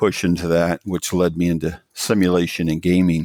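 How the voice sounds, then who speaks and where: In a monotone, flat intonation with an American accent, a man speaks at a moderate pace with a very deep, low pitch and a dark, mellow tone, in a dry, close sound with no echo on a very clean recording with a silent background. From US South, rural mountains of Virginia. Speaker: tech company CEO. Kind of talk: podcast interview. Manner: halting, many fillers.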